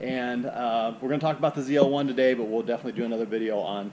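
There is light background noise as a man talks with ordinary pitch variation. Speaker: car vlogger. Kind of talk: casual vlog chat. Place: street. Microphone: phone near.

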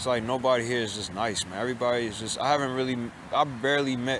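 A man talks at a fairly quick pace with fairly even intonation, amid noticeable background noise and audible room echo. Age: 20s. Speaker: vlogger. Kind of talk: casual monologue vlog.

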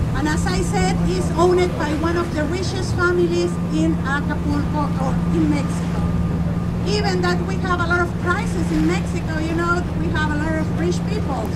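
The speech moves at a moderate pace, with loud background noise behind it. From Mexico. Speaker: tour guide. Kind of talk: guided tour narration. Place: boat.

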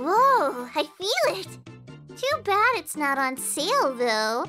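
A put-on character voice speaks very slowly at a high pitch. Clear music plays in the background. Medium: dub.

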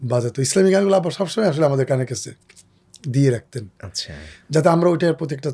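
In a very clean recording with a silent background, a man speaks at a fairly high pitch with lively intonation. His tone is dark and mellow, and somewhat breathy. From Bangladesh, Faridpur. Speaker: Islamic singer. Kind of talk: interview.

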